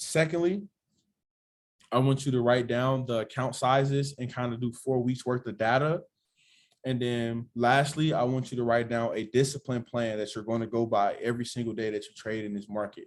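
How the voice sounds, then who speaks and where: The man's voice is medium in pitch. Its intonation is fairly even. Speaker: trading mentor. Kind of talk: online class. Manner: fast; casual.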